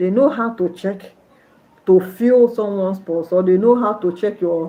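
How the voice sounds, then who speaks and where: A woman speaks in a Nigerian accent at a medium pitch and a moderate pace. Her intonation is fairly even, and there is noticeable background noise. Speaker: nurse and livestreamer. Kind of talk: livestream chat with viewers.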